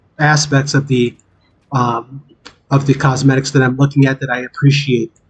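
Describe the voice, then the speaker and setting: The delivery is monotone and flat, at a moderate pace. The voice sounds somewhat breathy. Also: man. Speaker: gaming streamer. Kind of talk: casual live stream chat. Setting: live stream with game audio. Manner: halting, many fillers.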